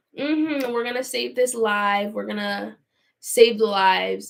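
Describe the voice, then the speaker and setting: Her fairly high-pitched voice carries this woman along at a moderate pace. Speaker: YouTuber live streaming. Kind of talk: live stream Q&A. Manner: animated; theatrical.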